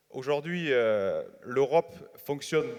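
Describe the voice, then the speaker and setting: A man with a southern French accent. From southern France, Hérault. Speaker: winegrower, young farmers' union leader. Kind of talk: audience question at panel. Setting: congress hall with audience.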